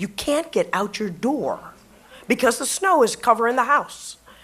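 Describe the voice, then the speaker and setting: A woman with an American accent speaks at a moderate pace, her high pitch swinging very widely. Noticeable background noise sits behind her. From Buffalo, New York. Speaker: retired media professional and LGBT activist. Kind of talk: personal storytelling speech to live audience.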